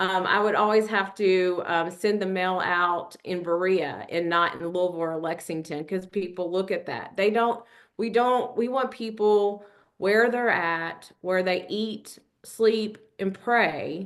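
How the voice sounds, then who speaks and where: A woman speaks in a Kentucky accent at a medium pitch. Her pace is fairly slow, with ordinary pitch variation. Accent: Kentucky twang. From Kentucky (Richmond). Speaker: nonprofit program director. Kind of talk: webinar presentation. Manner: conversational, with frequent fillers.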